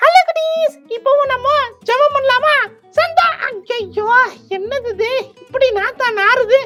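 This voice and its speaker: This cartoonish character voice sits at an extremely high pitch and moves at a fairly slow pace. Faint music plays in the background. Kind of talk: children's puppet show dialogue.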